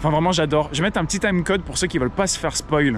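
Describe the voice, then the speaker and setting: Over noticeable background noise, a man sounds enthusiastic, his pitch varying in an ordinary way. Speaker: theme park vlogger. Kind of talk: casual vlog commentary.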